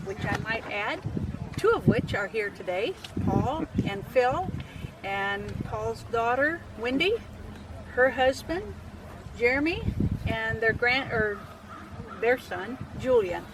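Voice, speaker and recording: At a very slow pace with long, frequent pauses, the speaker uses lively intonation in an American accent against noticeable background noise. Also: woman. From US Midwest, Indiana. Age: 80s. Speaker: local resident presenter. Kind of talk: personal life story. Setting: outdoors at a cemetery.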